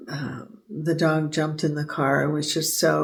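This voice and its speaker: Soft-spoken and somewhat breathy, a woman with a General American accent talks at a fairly slow pace with a very deep, low pitch and monotone, flat intonation. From Southern California. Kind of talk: sleep story. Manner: hesitant, casual.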